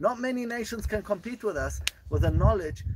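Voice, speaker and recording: With a South African accent, a man talks at a fairly quick pace over noticeable background noise. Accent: South African-tinged English. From Israel (Gush Etzion). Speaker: tour guide. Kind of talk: guided tour. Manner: enthusiastic.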